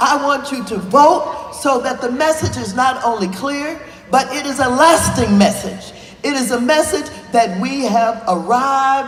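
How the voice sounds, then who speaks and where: Over background music, a woman talks at a fairly slow pace. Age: 80s+. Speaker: congresswoman. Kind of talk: political speech.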